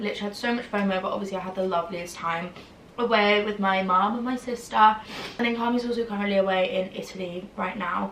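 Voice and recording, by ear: In a room with audible echo, a woman speaks at medium pitch and a fairly quick pace, her tone bright and sharp and her intonation fairly even.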